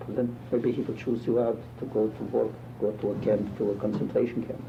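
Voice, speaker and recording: With music in the background, a man of medium pitch speaks fairly quickly in a monotone, flat delivery. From Poland. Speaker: rabbi, Holocaust survivor. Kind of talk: interview answer.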